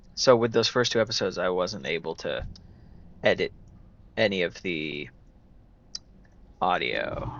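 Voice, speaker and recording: A quiet man speaks at a moderate pace with long, frequent pauses. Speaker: gaming YouTuber. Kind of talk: let's play commentary. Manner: quiet, low volume; casual, conversational.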